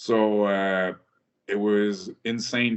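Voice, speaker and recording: In a French-Canadian accent, a man speaks with a fairly low pitch. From rural Quebec, Canada. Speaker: military veteran. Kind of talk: interview. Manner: hesitant, many fillers.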